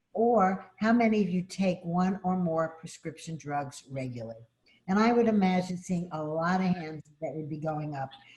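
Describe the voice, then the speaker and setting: Somewhat breathy and fairly low-pitched, a woman with a Brooklyn accent talks at a moderate pace with lively intonation. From Brooklyn, New York. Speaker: advocacy organization state director. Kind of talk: formal opening remarks. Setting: video call.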